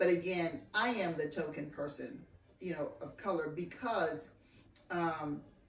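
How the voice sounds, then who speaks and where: With audible room echo and noticeable background noise, a woman with an American accent talks fairly slowly at a fairly low pitch, her pitch variation ordinary. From Texas. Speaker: podcast host. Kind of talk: casual chat.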